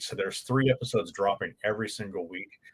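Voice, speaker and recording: A man with a Californian accent speaks at a medium pitch. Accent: California. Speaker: board game channel host. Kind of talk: live stream Q&A chat. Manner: many filler words (um, uh).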